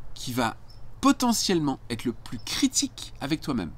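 A fairly slow-paced male speaker. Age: 50s. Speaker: life coach and entrepreneur; life coach. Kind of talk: casual monologue tutorial. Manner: hesitant, many filler words. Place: garden. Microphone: phone near.

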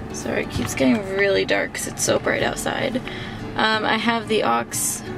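A woman's voice with ordinary pitch variation, clear music in the background. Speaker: car owner vlogger. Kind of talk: casual vlog chat. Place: car. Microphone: phone near.

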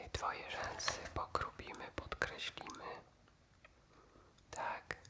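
Whispering at a very slow pace, a man keeps a calm tone over noticeable background noise. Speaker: ASMR creator. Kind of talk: ASMR roleplay, personal attention. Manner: whispered; soft-spoken, calm, caring.

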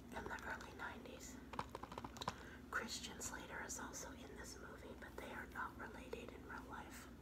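A woman is speaking. Loud background noise fills the recording. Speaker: ASMR creator. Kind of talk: ASMR show and tell, casual talk to camera. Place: home room. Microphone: phone near.

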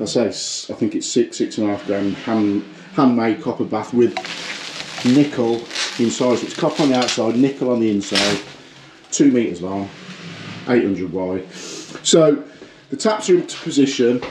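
Noticeable background noise runs under this recording of a man. He talks at a moderate pace with long, frequent pauses. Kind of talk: tutorial. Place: home room. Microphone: phone near.

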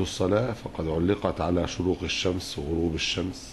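A man talks at a very slow pace, with light noise in the background. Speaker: religious teacher. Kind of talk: lecture. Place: hall. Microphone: podium.

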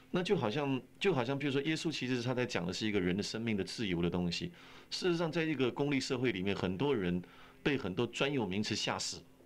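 A man talking at a very fast pace with very wide pitch swings. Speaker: pastor, radio interview guest. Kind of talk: interview answer. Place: studio. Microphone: old recording.

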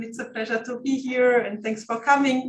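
Light background noise sits behind a woman whose high-pitched voice keeps a fairly even intonation. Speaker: guest lecturer. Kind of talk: lecture. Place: meeting room. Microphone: camera far.

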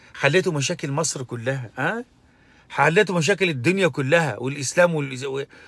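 With ordinary pitch variation and a fairly high pitch, a man talks at a moderate pace in a dry recording with no echo. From Egypt. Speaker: religious commentator; commentator. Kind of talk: monologue commentary; opinion commentary, casual vlog rant. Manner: halting, with fillers. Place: car. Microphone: phone near.

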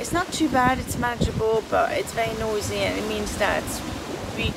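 A woman at a fairly slow pace amid loud background noise. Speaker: sailor vlogger. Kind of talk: casual vlog chat. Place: boat. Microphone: phone near.

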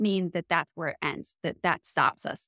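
A woman at a fairly slow pace, with a quiet background and a dry sound with no echo. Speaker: business coach, co-host. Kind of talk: podcast monologue. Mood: warm and encouraging. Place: home room.

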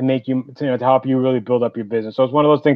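Against a quiet background, a man speaks with a New York accent. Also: dry sound with no echo. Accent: heavy New York. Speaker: entrepreneur, business owner; guest. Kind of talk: casual business interview. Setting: live video call. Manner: talkative. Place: home room. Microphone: video call.

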